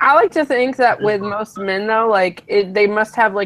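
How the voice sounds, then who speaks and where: Against noticeable background noise, a woman speaks at medium pitch with ordinary pitch variation and a slight Southern US accent. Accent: slight Southern, by own account. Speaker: law student. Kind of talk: casual chat.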